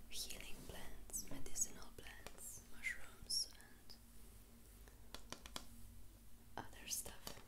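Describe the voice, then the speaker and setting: Whispering and soft-spoken, a woman talks at a very slow pace over loud background noise. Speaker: vlogger. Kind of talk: casual vlog chat. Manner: soft close ASMR whisper. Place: home room. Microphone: phone near.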